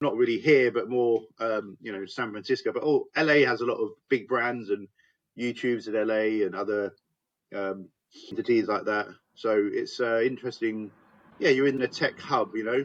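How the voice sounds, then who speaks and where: With an English accent, a man talks at a moderate pace and medium pitch with fairly even intonation against a quiet background. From England, Hertfordshire / North London. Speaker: business owner. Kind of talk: podcast interview.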